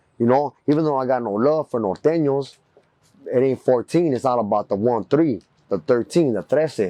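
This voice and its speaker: A man speaks at a moderate pace. He has an American accent. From East Los Angeles. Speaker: Chicano rapper. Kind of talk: documentary interview answer.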